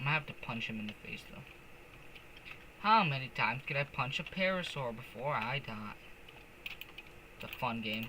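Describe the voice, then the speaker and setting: A man's medium-pitched voice at a moderate pace, with lively intonation, big swings in loudness and noticeable background noise. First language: not English. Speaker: gaming streamer. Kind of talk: casual gameplay commentary. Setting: live stream. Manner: casual, hesitant with fillers.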